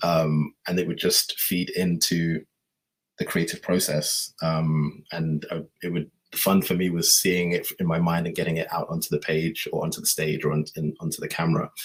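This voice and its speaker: With fairly even intonation, a man talks at a very deep, low pitch. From northern England, Manchester. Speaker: photographer. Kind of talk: presentation. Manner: hesitant, many fillers.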